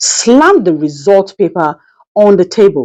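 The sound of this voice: Speaking at a fairly slow pace, a woman with medium pitch and a slightly mellow tone makes big pitch swings.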